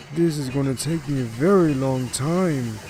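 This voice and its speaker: Using a put-on character voice at a fairly high pitch, a man speaks over clear background noise. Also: moderate pace. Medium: read story.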